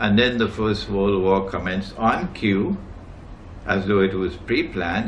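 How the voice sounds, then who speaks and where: A man speaks at a fairly slow pace. Room echo is audible, and there is noticeable background noise. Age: 70s. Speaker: Islamic scholar. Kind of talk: lecture. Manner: emphatic.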